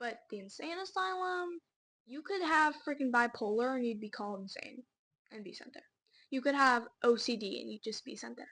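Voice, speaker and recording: The tone is bright and sharp, with very wide pitch swings. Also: woman, high pitch for a woman. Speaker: podcast co-host. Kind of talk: casual chat. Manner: fast.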